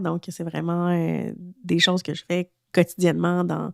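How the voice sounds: A nasal voice with vocal fry and little pitch movement at a moderate pace, dry and close with no echo, on a very clean recording with a silent background. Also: woman.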